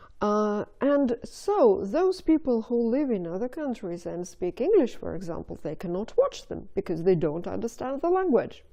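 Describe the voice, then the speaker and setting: A woman speaks at a moderate pace with hardly any pauses. Her fairly high voice makes very wide pitch swings. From Russia. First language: Russian. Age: 50s. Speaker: video blogger. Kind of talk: casual monologue to camera. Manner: hesitant, with fillers.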